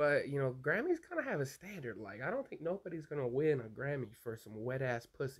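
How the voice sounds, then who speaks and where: A man's somewhat breathy voice, fairly high in pitch, at a fairly quick pace. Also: lively intonation, hardly any pauses. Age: 20s. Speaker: YouTube show host. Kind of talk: casual solo vlog monologue. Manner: animated.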